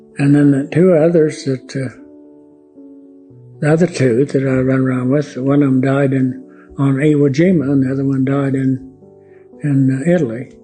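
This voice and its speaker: A man with an American accent speaks at a moderate pace in a fairly high pitch, his intonation flat and monotone. Long pauses come often, with music playing in the background. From Oklahoma. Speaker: World War II Navy veteran. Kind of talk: interview answer.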